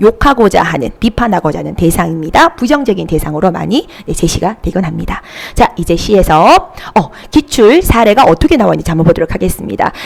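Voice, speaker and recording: Someone talks at a fairly quick pace against noticeable background noise. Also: woman. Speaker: Korean literature tutor. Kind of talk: online lecture.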